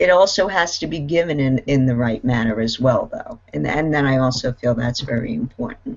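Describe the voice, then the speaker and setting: This voice has an American accent and lively intonation. It moves at a fairly quick pace with hardly any pauses. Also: woman, very deep, low pitch for a woman. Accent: Brooklyn accent, sometimes heavy. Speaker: panelist in online discussion. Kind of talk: casual group discussion.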